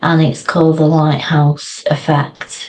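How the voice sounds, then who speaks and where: A woman's very deep, low voice, flat and monotone, at a fairly slow pace. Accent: British. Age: 60s. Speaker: founder of a water safety social enterprise. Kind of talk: interview.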